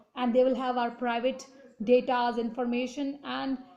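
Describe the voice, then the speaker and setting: A woman with an Indian accent, high in pitch, with a dark, mellow tone. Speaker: political commentator. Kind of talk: opinion monologue. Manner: halting, many fillers and restarts.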